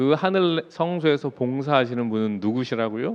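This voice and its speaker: This man's pitch swings very widely as he speaks. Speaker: pastor. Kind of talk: sermon.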